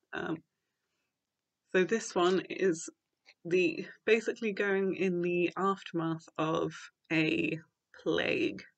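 A woman speaks with a British accent. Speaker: book reviewer. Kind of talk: casual talk to camera.

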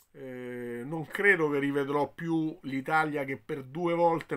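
A man is speaking at a fairly high pitch. His pitch variation is ordinary. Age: 50s. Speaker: football commentator. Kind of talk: video commentary. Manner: hesitant, with fillers. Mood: disappointed, resigned. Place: home room. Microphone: phone near.

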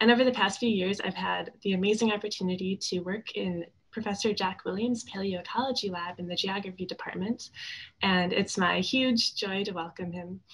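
A woman talks at a moderate pace with an American accent. Her voice is somewhat breathy, and her intonation stays fairly even. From Wisconsin (Shorewood, near Milwaukee). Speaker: undergraduate student. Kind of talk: speaker introduction. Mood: warm, friendly. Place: home room. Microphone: webcam.

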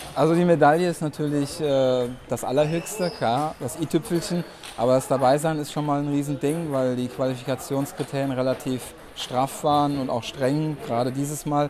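Over noticeable background noise, a man with a fairly high pitch speaks at a moderate pace and keeps his intonation fairly even. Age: 40s. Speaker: wheelchair table tennis player. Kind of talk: interview. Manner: hesitant, with filler sounds. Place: hall.

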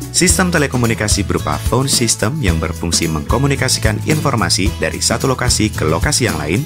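Very fast speech with hardly any pauses over clear music in the background. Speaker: voice over talent. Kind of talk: corporate promotional narration, agency commercial read. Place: studio.

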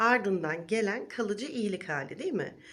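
An ordinary speaking voice, a woman of medium pitch with lively intonation at a fairly slow pace. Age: 40s. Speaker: wellness vlogger. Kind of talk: vlog monologue. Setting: recorded video.

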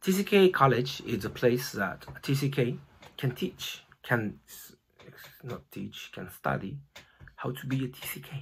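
Over light background noise, a man with vocal fry and lively intonation speaks at a very slow pace, with long, frequent pauses and big swings in loudness. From Japan (born in Brazil). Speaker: missionary and TCK college founder. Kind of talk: personal introduction talk to a Sunday school audience. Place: home room. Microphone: phone near.

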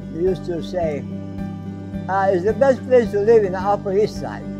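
A man's voice over clear music in the background. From Iran. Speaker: candy store owner. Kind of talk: interview answer. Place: shop.

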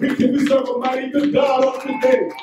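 Over clear background music, a man talks at an extremely high pitch, with audible room echo. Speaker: pastor, Baptist church bishop. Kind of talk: funeral eulogy sermon. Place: church.

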